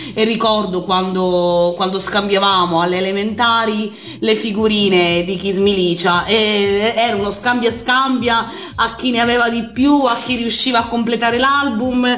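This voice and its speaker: A woman with a fairly high pitch talks at a fairly slow pace with fairly even intonation, over noticeable background noise and audible room echo. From Sicily, province of Enna. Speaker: teacher, radio listener guest. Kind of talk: casual interview chat.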